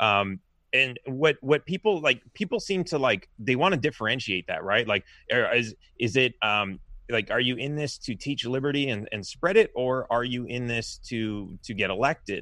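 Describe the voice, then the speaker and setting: The speaker has a Californian accent and a moderate pace. The intonation is lively. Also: man, medium pitch for a man. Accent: General American, Californian. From US West Coast, Los Angeles. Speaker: presidential candidate, software engineer. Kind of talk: interview. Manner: halting.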